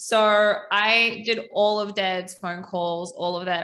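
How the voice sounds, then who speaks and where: A woman speaks with a New Zealand accent and a bright, sharp tone. Her pitch varies in an ordinary way. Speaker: ecommerce coach. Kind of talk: podcast interview.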